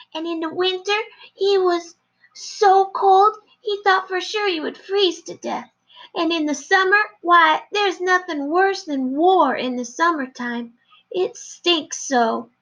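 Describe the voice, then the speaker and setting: A female-sounding voice puts on a character voice at an extremely high pitch, moving at a fairly slow pace. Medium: read story. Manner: dramatic, repeats 'yes, ma'am'.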